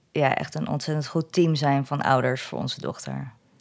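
A woman at a fairly slow pace. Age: 40s. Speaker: single mother. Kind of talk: interview conversation. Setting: at home at a table.

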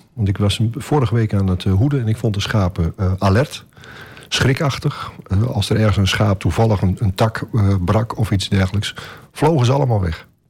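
A man talks at a moderate pace with a fairly low pitch and ordinary pitch variation. His voice is somewhat breathy, and his loudness stays very even. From Groningen, Netherlands. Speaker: shepherd. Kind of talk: radio interview. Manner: hesitant, many filler sounds.

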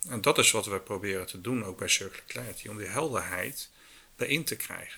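The voice has a bright, sharp tone, ordinary pitch variation and big swings in loudness. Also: man. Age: 50s. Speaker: circular economy business consultant. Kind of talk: interview.

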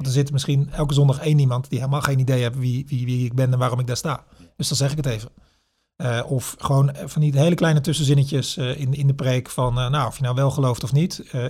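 A man's fairly high, somewhat breathy voice with a dark, mellow tone, monotone, flat intonation and a fairly quick pace. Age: 40s. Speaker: pastor. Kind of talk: interview conversation. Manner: halting, with fillers and repetitions.

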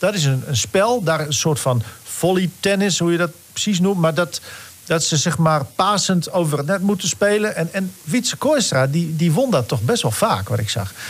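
Against noticeable background noise, a man with a high pitch makes very wide pitch swings while keeping his loudness very even. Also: moderate pace. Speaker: sports podcast co-host. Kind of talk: casual chat. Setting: studio.

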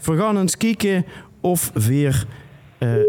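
Noticeable background noise surrounds a man talking at a very slow pace. His pitch is fairly high. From Limburg, Netherlands (Sittard). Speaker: podcast host. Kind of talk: casual chat; prank phone call. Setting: studio.

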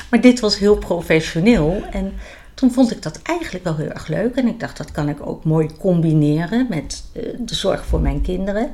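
In an unremarkable speaking voice at a moderate pace, the speech shows big swings in loudness. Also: woman, medium pitch for a woman. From The Hague, Netherlands. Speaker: medical pedicure and instructor. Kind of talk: interview.

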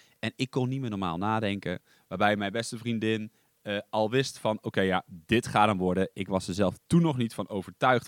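Recorded dry and close with no echo against a silent background, a man talks at a moderate pace in a fairly low voice with ordinary pitch variation on a very clean recording. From eastern Netherlands. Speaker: podcast host. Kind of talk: scripted-ish solo podcast monologue, casual. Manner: slightly nervous, hesitant with fillers.

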